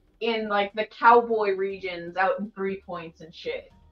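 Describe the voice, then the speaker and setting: Fairly even intonation runs through a woman's speech as music plays in the background. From Tucson, Arizona, US. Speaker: streamer. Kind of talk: casual livestream chat. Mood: amused, casual. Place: home room. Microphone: webcam.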